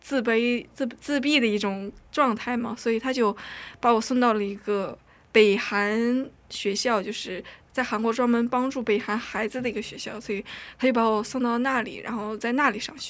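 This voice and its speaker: In a very clean recording with a silent background, a woman speaks at a moderate pace. Her fairly high voice has fairly even intonation. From North Korea, raised in China. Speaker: university student. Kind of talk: casual interview. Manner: nervous, halting.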